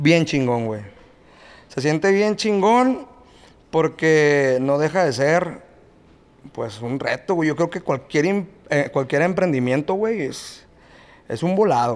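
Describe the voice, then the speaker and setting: A man's fairly high, lively voice at a very slow pace, broken by long, frequent pauses. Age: 30s. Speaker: regional Mexican band singer. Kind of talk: casual chat.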